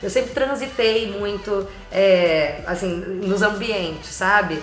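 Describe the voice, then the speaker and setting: A woman's medium-pitched voice is heard with music behind it. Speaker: voice actor (dubbing) and actress. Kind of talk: interview answer.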